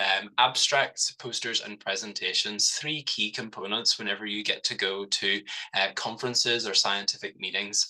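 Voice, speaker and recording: This man speaks with a Northern Irish accent. His pitch is medium and his pace moderate. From Northern Ireland, Belfast. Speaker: cancer nurse researcher. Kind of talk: webinar presentation.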